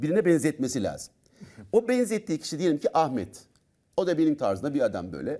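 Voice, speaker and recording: Against a quiet background, a man with a fairly high pitch, dark and mellow tone, and vocal fry talks at a fairly quick pace, his pitch swinging very widely. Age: 50s. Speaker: doctor and personal development trainer; personal development trainer. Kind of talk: talk show interview. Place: studio. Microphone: lapel.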